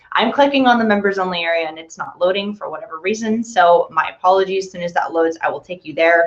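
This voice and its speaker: Someone talks very fast with hardly any pauses, ordinary pitch variation and big swings in loudness. Noticeable background noise runs underneath. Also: woman, medium pitch for a woman. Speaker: digital media specialist hosting company webinar. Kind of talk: tutorial. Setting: online video hangout.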